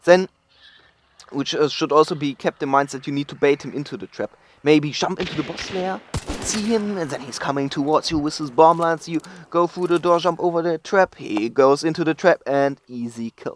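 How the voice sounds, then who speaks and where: A man in a German accent with ordinary pitch variation and big swings in loudness, the sound dry and close with no echo. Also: fairly high pitch for a man, moderate pace. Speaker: gaming guide creator. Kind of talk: game tutorial voice-over.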